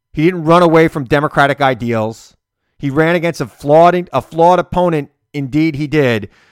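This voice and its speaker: An ordinary speaking voice from a man, fairly high in pitch, with ordinary pitch variation. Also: fairly quick pace. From US Northeast, Long Island. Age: 40s. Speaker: political podcast host. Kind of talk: political commentary; interview.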